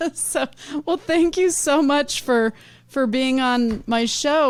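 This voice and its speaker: This woman has a normal speaking voice and an American accent. She talks fairly slowly with ordinary pitch variation. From United States. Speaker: podcast host and medium. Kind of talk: casual interview chat.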